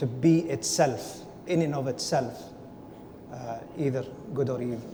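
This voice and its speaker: Fairly high-pitched male speech with a non-native accent, ordinary pitch variation and audible room echo. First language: not English. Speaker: panelist. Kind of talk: panel discussion.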